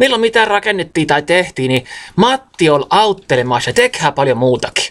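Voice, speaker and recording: A man speaks with a Karelian Isthmus accent and very wide pitch swings. The background is quiet. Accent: Karelian dialect of the Karelian Isthmus. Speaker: storyteller. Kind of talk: dialect storytelling. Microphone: phone near.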